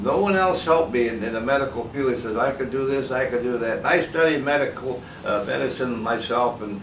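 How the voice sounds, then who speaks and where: With lively intonation and a medium pitch, a man talks at a fairly quick pace amid noticeable background noise and audible room echo. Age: 80s+. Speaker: patient, senior athlete. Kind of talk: testimony. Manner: halting.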